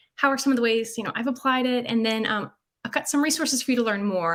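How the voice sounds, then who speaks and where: A woman speaks with a Southern US accent. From US South, North Carolina. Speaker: UX designer. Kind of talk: conference talk. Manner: casual, with many fillers.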